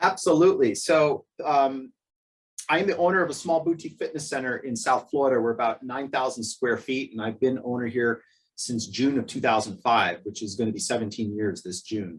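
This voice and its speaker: A man with an ordinary speaking voice talks at a fairly quick pace and medium pitch, his intonation lively. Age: 50s. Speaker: gym owner. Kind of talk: webinar interview.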